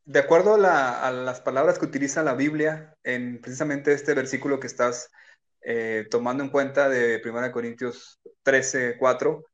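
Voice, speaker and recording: A man with an ordinary speaking voice talks at a fairly slow pace and medium pitch against a quiet background. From Mexico, Culiacán, Sinaloa. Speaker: pastor. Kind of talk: casual chat.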